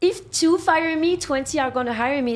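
Speaking in a French accent, a woman keeps a moderate pace with ordinary pitch variation. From France. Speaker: sex worker. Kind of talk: podcast interview.

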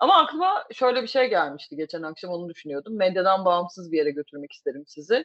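This woman's voice sits at medium pitch and swings very widely. Her tone is animated. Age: 30s. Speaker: podcast host. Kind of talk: casual chat. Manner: animated, laughing often.

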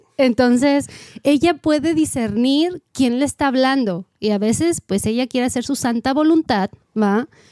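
A woman speaks at a fairly slow pace with a high pitch and a dark, mellow tone. Her intonation is lively, her loudness very even, and the sound is dry and close with no echo. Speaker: podcast co-host. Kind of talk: casual chat.

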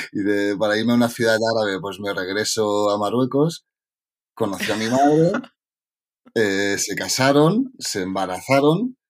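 A man with a normal speaking voice talks at medium pitch and a fairly slow pace, with ordinary pitch variation. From Catalonia, Spain (Tarragona). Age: 40s. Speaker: novelist. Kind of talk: interview.

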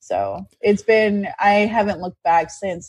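Against a quiet background, a woman with a Canadian accent has an ordinary speaking voice, talking at a fairly slow pace with fairly even intonation. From Canadian prairies. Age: 30s. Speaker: digital marketer. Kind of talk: interview.

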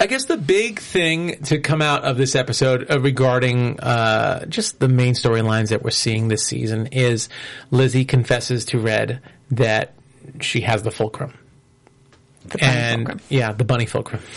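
A man with a plain, everyday voice, medium pitch, ordinary pitch variation, a moderate pace, and an American accent. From New York. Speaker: tv after-show host. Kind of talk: casual chat. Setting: studio.

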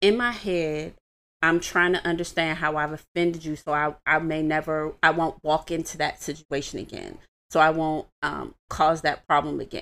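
In an American accent, a woman with a very deep, low pitch speaks at a moderate pace on a very clean recording with a silent background. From Washington, D.C. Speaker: relationship advice guest. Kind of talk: casual chat. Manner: animated.

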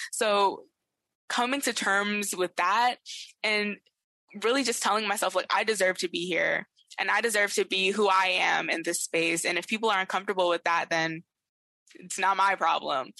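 A woman with an American accent speaks in an ordinary speaking voice at a medium pitch and moderate pace, with ordinary pitch variation. The sound is dry and close with no echo. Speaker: youth organizer, activist. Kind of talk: panel discussion. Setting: video call.

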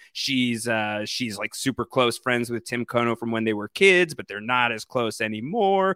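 A man's unremarkable speaking voice with an American accent, medium pitch and lively intonation, at a moderate pace with hardly any pauses, dry and close with no echo on a very clean recording with a silent background. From New York. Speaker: podcast host. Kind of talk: casual chat.

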